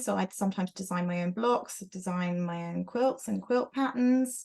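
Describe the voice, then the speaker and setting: A woman with a British accent speaks at a fairly slow pace with lively intonation. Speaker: quilter and author. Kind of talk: casual chat. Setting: video call from her sewing studio.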